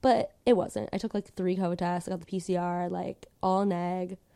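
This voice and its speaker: At a moderate pace, a woman speaks in a medium pitch with a dark, mellow tone. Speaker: podcast host. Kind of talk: casual chat. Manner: playful, animated.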